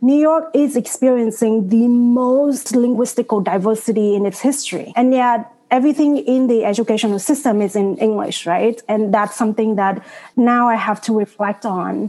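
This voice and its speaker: Talking at a moderate pace with hardly any pauses, a woman with a Vietnamese accent has a fairly high pitch, ordinary pitch variation and a dark, mellow tone. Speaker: doctoral student. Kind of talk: panel discussion.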